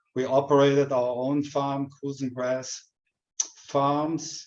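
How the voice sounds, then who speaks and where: A man's fairly high, monotone voice with flat intonation, a German accent and a very slow pace. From Germany. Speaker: retired dairy farmer and education coordinator. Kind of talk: webinar presentation.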